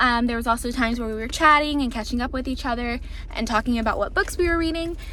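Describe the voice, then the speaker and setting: Over noticeable background noise and audible room echo, a woman with a high pitch talks in an upbeat tone at a very fast pace. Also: ordinary pitch variation. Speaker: booktuber vlogger. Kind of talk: casual vlog talk to camera. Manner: chatty, upbeat.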